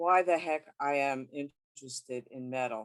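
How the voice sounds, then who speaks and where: Lively intonation marks this woman's speech in a Brooklyn accent. The sound is dry and close, with no echo. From US, Brooklyn New York. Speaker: sociologist. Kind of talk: lecture. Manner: halting in Spanish.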